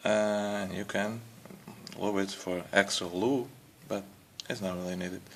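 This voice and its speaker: Fairly low in pitch with fairly even intonation, a man talks at a fairly slow pace, pausing long and often. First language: not English. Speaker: car hobbyist. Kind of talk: tutorial. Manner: casual, hesitant with fillers.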